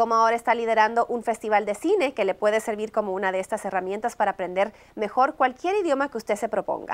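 This woman has a fairly high pitch. She talks at a very fast pace. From outside the US, Latin America. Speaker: TV morning show host; TV show host. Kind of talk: TV interview. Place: studio.

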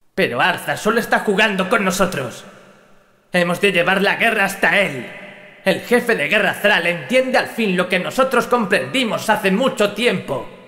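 Over noticeable background noise, a man with a high voice projects a menacing tone at a moderate pace, his loudness very even. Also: ordinary pitch variation. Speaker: character voice performed by the narrator. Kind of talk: dramatic character dialogue. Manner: cold, menacing, harsh, contemptuous.

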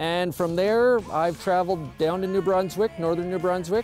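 A high male voice with ordinary pitch variation, dry sound with no echo, and clear music in the background. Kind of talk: interview answer. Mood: relaxed, matter-of-fact. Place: street.

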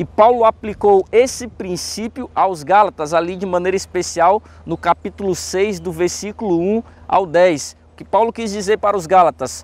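A man with a high-pitched voice speaks at a moderate pace with ordinary pitch variation, the sound dry with no echo. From Brazil, Fortaleza, Ceará; Ceará, Brazil. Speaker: pastor. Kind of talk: Bible study lesson. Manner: animated. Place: garden. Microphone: lapel.

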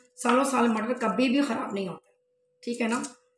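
A woman's fairly high-pitched voice, ordinary pitch variation, moderate pace, audible room echo

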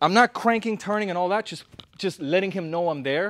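A man talks at a fairly quick pace in a high voice. His pitch varies normally, and the sound is dry with no echo. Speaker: boxing coach. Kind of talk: tutorial. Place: gym.

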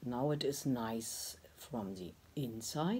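Very deep and low in pitch, a woman's voice swings very widely up and down. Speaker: pottery teacher. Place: workshop. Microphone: phone near.

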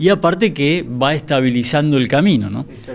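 A man with a fairly high pitch, an unremarkable speaking voice, ordinary pitch variation and a moderate pace. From Rosario, Argentina. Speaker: civil engineer. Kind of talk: interview.

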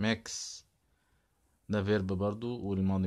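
On a very clean recording with a silent background, a man with an Egyptian accent and a very deep, low pitch speaks at a moderate pace. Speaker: English teacher. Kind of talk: vocabulary lesson. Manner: repetitive word drilling.

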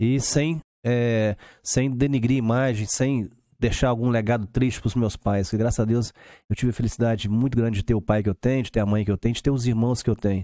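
At a fairly quick pace, a man speaks in a dark, mellow tone, the sound dry with no echo and the background quiet. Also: fairly even intonation. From Belo Horizonte, Minas Gerais, Brazil. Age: 50s. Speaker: lawyer and businessman; lawyer. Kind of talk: podcast interview. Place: studio. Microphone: studio mic.

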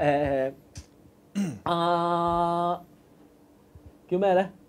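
A man speaks at a high pitch. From Hong Kong. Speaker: live stream host. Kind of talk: casual chat; casual livestream chat commentary. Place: studio.

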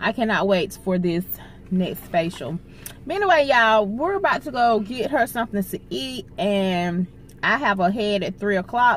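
At a moderate pace, a woman speaks with lively intonation, the sound dry with no echo and light background noise behind her. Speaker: vlogger. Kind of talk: casual vlog chat. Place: car. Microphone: phone near.

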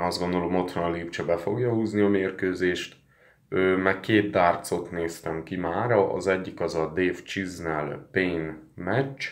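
A man speaks very slowly in a very deep, low voice with fairly even intonation over a quiet background. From Hungary. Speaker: sports betting tipster; sports betting vlogger. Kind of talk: casual vlog monologue. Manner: hesitant with fillers. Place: home room. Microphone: phone near.

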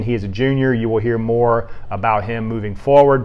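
A man's medium-pitched voice with an American accent, at a moderate pace and with monotone, flat intonation. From US South. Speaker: sports writer. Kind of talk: sports awards show. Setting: office. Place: studio. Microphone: lapel.

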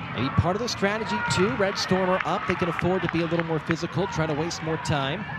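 A man's high voice at a very fast pace with hardly any pauses, ordinary pitch variation, and noticeable background noise. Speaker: soccer play-by-play commentator. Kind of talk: live sports commentary, demo reel of college soccer play-by-play. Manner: excitable on goals, drops into calmer analysis between plays.

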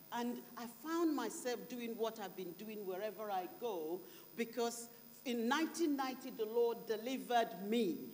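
Pitched fairly high, a woman speaks at a very slow pace with ordinary pitch variation. Long, frequent pauses break her speech over light background noise. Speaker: preacher. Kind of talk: sermon. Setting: church conference with interpreter. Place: church. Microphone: handheld.

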